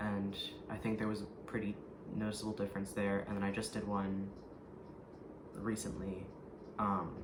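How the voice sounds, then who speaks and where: Over noticeable background noise and audible room echo, a man with a fairly low pitch speaks at a moderate pace in a monotone, flat delivery. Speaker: vlogger. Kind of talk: personal vlog update. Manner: hesitant, many ums.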